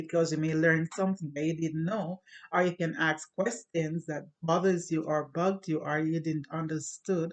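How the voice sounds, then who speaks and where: Speaking at a moderate pace with fairly even intonation, a woman with a fairly low pitch has a slight Jamaican accent. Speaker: YouTuber. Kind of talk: casual monologue to camera.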